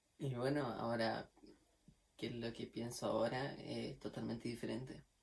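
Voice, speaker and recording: The man talks at a fairly slow pace with a medium pitch. His voice is somewhat breathy, and his intonation stays fairly even. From Chile, Magallanes region (Puerto Natales). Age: 20s. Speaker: violin student. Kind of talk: testimony. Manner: casual, with fillers.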